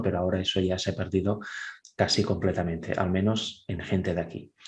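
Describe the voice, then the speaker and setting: Somewhat breathy and fairly low in pitch, a man with a Catalan accent talks at a fairly quick pace. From Catalonia, Spain (Vic). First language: Catalan (speaking Spanish). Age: 30s. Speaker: churchgoer giving testimony. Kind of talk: testimony.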